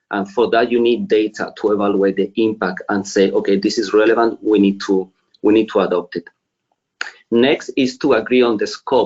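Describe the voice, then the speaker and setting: Speaking at a moderate pace, a man with a medium pitch talks with a Spanish accent. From Spain. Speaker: finance executive. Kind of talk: webinar presentation.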